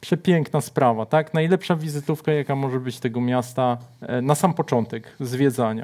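Over a quiet background, an ordinary speaking voice keeps a moderate pace and shows ordinary pitch variation. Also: man, fairly high pitch for a man. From Szczecin, Poland; Poland. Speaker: writer; guest. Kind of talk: casual chat. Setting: studio. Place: studio. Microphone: lapel.

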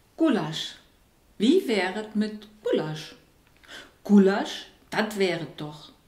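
A woman's lively intonation at a very slow pace, with long, frequent pauses, audible room echo and a quiet background. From Saarland. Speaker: writer. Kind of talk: poetry reading. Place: home room. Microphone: camera far.

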